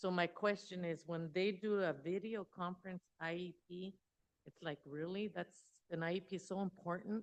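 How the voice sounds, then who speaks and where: Using an ordinary speaking voice, a woman talks at a medium pitch with fairly even intonation. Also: moderate pace. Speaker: school board member. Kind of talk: public meeting questioning. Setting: school board meeting.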